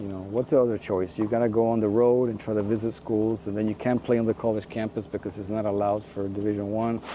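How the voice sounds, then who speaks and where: Noticeable background noise runs under a man speaking very fast. His intonation stays fairly even. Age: 60s. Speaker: tennis recruiting company founder. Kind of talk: interview.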